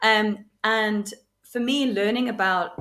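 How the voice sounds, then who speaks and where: Bright, sharp tone from a woman with fairly high pitch and a British accent. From England. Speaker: podcast guest. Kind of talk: casual chat. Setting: at home.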